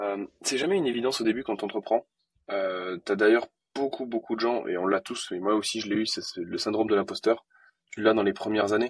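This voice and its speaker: A plain, everyday voice talks at a fairly quick pace with fairly even intonation. The sound is dry and close, with no echo. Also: man, medium pitch for a man. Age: 20s. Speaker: entrepreneur. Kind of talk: interview.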